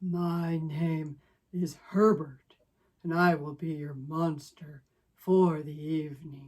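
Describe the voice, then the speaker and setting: Speaking at a very slow pace, a man uses a breathy, put-on character voice. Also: fairly high pitch for a man. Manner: politely formal.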